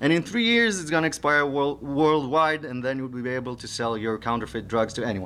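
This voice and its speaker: A man speaks with an Israeli accent. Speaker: security researcher. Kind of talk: conference talk. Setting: stage with audience. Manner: halting, many fillers.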